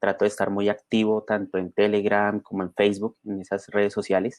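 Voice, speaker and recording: Against a quiet background, a man talks at a moderate pace in a fairly low pitch. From Colombia, Bogotá. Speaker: software developer and conference speaker. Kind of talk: conference talk. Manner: many filler sounds and repetitions.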